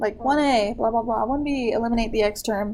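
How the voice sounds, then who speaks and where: Fairly quick and fairly high-pitched, a woman's dark, mellow voice keeps fairly even intonation amid audible room echo. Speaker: math teacher. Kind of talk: classroom lesson.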